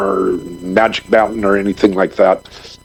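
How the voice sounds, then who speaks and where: Noticeable background noise is in the recording. A man talks fairly slowly through it. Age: 60s. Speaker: filmmaker and former adult film performer. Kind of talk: podcast interview. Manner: energetic.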